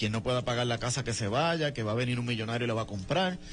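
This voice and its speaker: A somewhat breathy, very fast voice with a Puerto Rican accent and ordinary pitch variation. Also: man. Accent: Lares mountain. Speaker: political activist. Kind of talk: radio interview.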